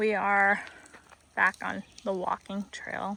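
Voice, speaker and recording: A woman talks in an American accent at a medium pitch. The sound is dry and close, with no echo. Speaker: English teacher. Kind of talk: tutorial. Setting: outdoors. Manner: slow.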